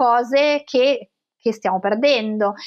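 Over a quiet background, a woman talks at a very slow pace with ordinary pitch variation. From Italy, Tuscany (Florence) and Genoa; Italy. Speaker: professor of pathology and cancer researcher; professor. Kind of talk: interview. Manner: hesitant, with fillers. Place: home room. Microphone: webcam.

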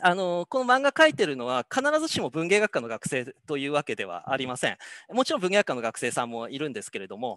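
Against a quiet background, a bright, sharp voice speaks very fast with very wide pitch swings and big swings in loudness, the sound dry with no echo. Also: man, fairly high pitch for a man. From Hokkaido, Japan. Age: 50s. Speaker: professor. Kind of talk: lecture. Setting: video call. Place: office. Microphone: headset.

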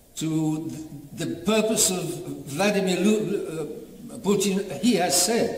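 A man talks at a very slow pace in a high pitch with ordinary pitch variation. Audible room echo and light background noise surround him. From Britain. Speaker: bishop. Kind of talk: sermon. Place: church. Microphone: camera far.

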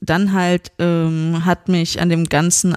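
A woman's fairly low voice, with a dry, close sound and no echo. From Germany, Frankfurt area. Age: 20s. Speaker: podcast guest. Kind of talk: casual chat. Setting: host's living room.

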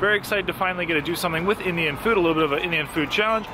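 Music plays behind a man's voice. The sound is dry, with no echo. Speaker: food vlogger. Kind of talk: casual vlog chat. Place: street. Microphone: phone near.

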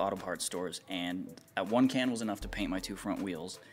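Faint music plays in the background while a man speaks at a fairly quick pace. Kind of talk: casual vlog chat. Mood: lighthearted, joking. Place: garage.

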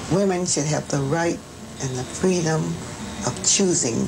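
A woman at a fairly slow pace with ordinary pitch variation, music in the background. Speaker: interviewee. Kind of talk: interview answer. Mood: earnest, opinionated. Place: home room. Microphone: lapel.

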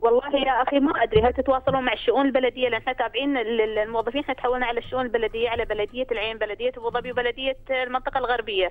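With hardly any pauses, a woman with a high pitch speaks at a very fast pace and fairly even intonation over noticeable background noise. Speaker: government employee. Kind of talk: call-in complaint. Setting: phone call.

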